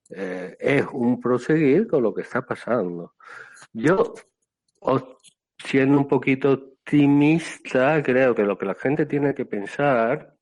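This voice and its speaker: A man talks at a very slow pace and medium pitch. His intonation is lively. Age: 60s. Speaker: Buddhist monk. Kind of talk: casual chat. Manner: calm, relaxing.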